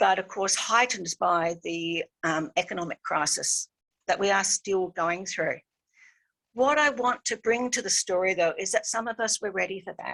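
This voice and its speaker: A woman's bright, sharp, medium-pitched voice moves at a moderate pace with ordinary pitch variation in a dry, close sound with no echo. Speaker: academic presenter. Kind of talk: conference paper presentation.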